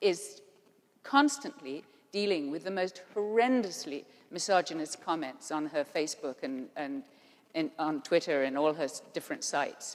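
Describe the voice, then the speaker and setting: This woman talks at a fairly slow pace. Her voice leaps between very high and very low notes. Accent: English. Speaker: panelist. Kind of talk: panel discussion.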